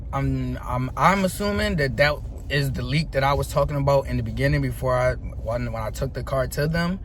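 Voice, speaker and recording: Man at a fairly quick pace, with audible room echo and noticeable background noise. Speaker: car vlogger. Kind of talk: casual vlog update. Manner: halting, repeats words.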